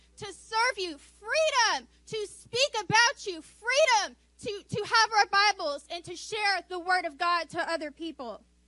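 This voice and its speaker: A woman with an extremely high pitch in a raised, projected voice, bright and sharp in tone, with lively intonation at a moderate pace. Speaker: church member. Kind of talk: spontaneous prayer. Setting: church.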